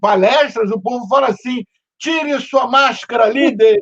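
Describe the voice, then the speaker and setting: At a fairly slow pace, a man speaks at extremely high pitch with ordinary pitch variation. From Brazil. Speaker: podcast host. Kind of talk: casual interview chat. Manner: animated, halting with repetitions.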